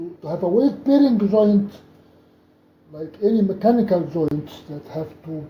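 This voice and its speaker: Over audible room echo, a man speaks in a high voice with a dark, mellow tone and ordinary pitch variation. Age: 70s. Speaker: doctor and athlete. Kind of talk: tutorial. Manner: halting.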